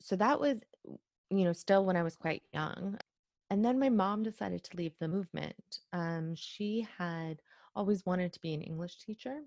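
A woman with a normal speaking voice at a medium pitch talks at a moderate pace with ordinary pitch variation and big swings in loudness, the sound dry and close with no echo. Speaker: journalist and author. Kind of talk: interview. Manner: casual, many fillers.

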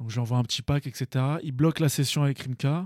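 Recorded very cleanly with a silent background and a dry, close sound with no echo, a man speaks at a moderate pace in a fairly high pitch with ordinary pitch variation. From Paris region, Seine-Saint-Denis. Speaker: beatmaker, music producer. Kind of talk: casual interview chat.

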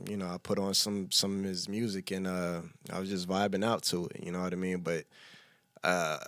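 A man with a fairly low pitch talks at a moderate pace in an unremarkable speaking voice. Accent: American. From Texas (Killeen). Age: 30s. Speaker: hip hop artist. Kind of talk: casual interview. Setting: studio.

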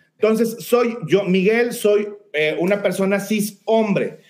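A man with a high-pitched voice talks at a fairly slow pace. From Mexico, Saltillo, Coahuila. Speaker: lawyer and diversity educator. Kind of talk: live-streamed interview. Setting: live video stream. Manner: halting, many fillers.

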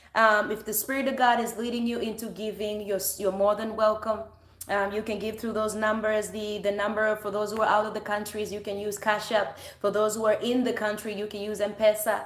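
At a fairly quick pace, a woman with a fairly high pitch speaks in a monotone, flat way against noticeable background noise. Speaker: online service host. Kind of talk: welcoming greeting and prayer. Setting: online livestream.

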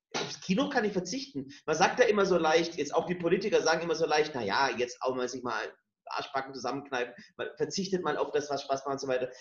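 A man's pitch rises and falls very widely. He talks at a moderate pace. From rural Germany. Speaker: podcast co-host. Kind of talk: casual chat.

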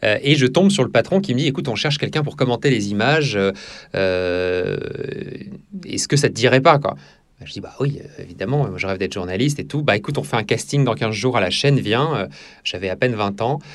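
Talking at a fairly quick pace, a man at medium pitch makes very wide pitch swings and leaves long, frequent pauses. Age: 30s. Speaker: TV news anchor and political journalist. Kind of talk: interview. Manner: halting, many fillers and repetitions.

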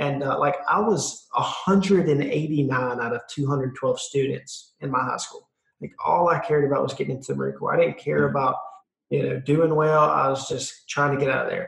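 This man talks with a Southern US accent. His pace is moderate. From South Carolina, US. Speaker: entrepreneur. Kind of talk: interview. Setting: video call. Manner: animated.

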